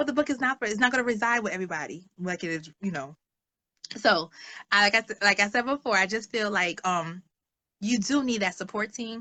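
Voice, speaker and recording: A woman speaks with a bright, sharp, animated tone and lively intonation. The sound is dry and close with no echo. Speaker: social worker and author. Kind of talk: interview. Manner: fast.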